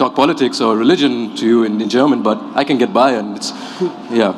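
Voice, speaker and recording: Noticeable background noise is present. A man is talking. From Qatar and Abu Dhabi. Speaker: newcomer interviewee. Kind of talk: panel interview.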